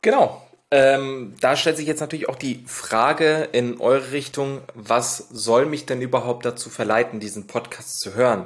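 A man speaks fairly slowly at a medium pitch with ordinary pitch variation. He has a normal speaking voice. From Ruhr area, Germany (Lünen near Dortmund). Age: 20s. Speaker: podcast co-host. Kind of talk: casual podcast intro.

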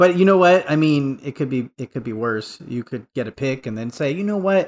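Over a quiet background, a man in an ordinary speaking voice talks at a fairly quick pace with a fairly high pitch and lively intonation. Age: 30s. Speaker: podcast guest, listener supporter. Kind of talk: casual chat.

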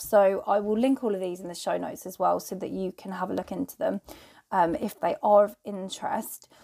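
Vocal fry runs through a dark, mellow tone that moves at a moderate pace with ordinary pitch variation. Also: woman. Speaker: podcast host and entrepreneur. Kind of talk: solo podcast monologue, casual freestyle. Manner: casual, chatty, self-deprecating.

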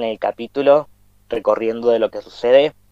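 In a Cuyo Argentine accent, a man talks at a moderate pace with a dry, close sound and no echo. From Argentina, Mendoza. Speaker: podcast host. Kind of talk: casual chat.

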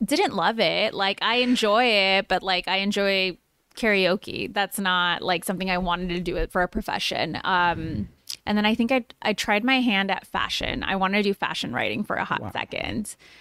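A woman at medium pitch and moderate pace, ordinary pitch variation, dry, close sound with no echo and music in the background. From Chicago. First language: Spanish. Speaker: entrepreneur and podcaster. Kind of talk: casual interview.

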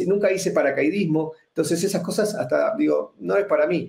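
In an Argentine accent, a man talks with a dark, mellow tone. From Argentina. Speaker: extreme performer, magician and speaker. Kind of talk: interview.

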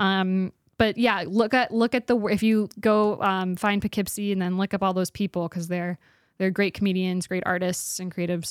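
A normal speaking voice with an American accent, fairly even intonation and a moderate pace, dry and close with no echo, on a very clean recording with a silent background. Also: woman, medium pitch for a woman. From Spokane, Washington. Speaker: stand-up comedian and actor. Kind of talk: casual interview chat. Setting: studio.

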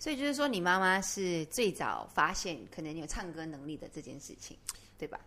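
A woman speaks at a moderate pace in a bright, sharp tone, her fairly low voice leaping through very wide pitch swings while her loudness rises and falls sharply. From Malaysia. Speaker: podcast host. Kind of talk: casual interview.

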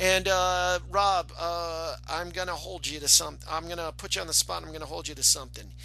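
A man talking at a fairly quick pace with hardly any pauses, music playing in the background. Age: 40s. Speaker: podcast host. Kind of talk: casual interview.

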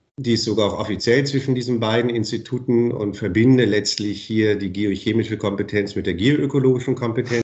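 Some breathiness runs through this voice. The intonation is fairly even. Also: man. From northern Germany, Bremen. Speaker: professor. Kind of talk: interview.

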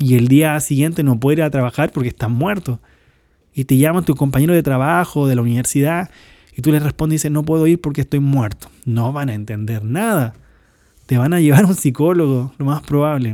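A man speaks at a fairly quick pace with a fairly high pitch. His tone is dark and mellow, with ordinary pitch variation. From Chile. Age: 20s. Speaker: pastor. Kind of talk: podcast sermon. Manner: more energetic than last episode.

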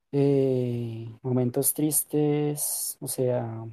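His tone dark and mellow, a man speaks at medium pitch in a monotone, flat intonation. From Colombia. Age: 20s. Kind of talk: testimony interview.

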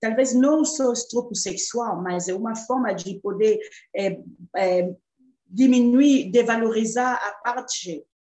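Hers is an unremarkable speaking voice: a woman at a fairly high pitch with ordinary pitch variation. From Democratic Republic of the Congo. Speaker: artist and human rights activist. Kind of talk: interview.

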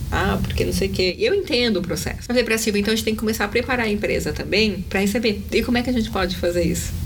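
Words tumble out at a very fast pace with hardly any pauses, in an animated tone and at a very even loudness. Audible room echo and noticeable background noise sit behind the voice. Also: woman. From Brazil, São Paulo. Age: 40s. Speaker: inclusion entrepreneur and YouTube presenter. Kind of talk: casual interview. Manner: talkative, animated.

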